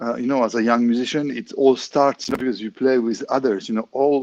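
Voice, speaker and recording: A man speaks with a French accent and fairly even intonation. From France. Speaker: clarinetist. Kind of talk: interview. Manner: halting, many fillers.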